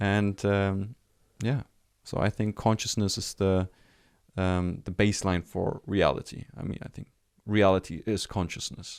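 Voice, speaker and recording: Heard in a dry, close sound with no echo, the speaker talks at a fairly slow pace with fairly even intonation and a German accent. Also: man, fairly low pitch for a man, very clean recording, silent background. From Germany. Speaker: life coach. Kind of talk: casual interview chat. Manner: halting.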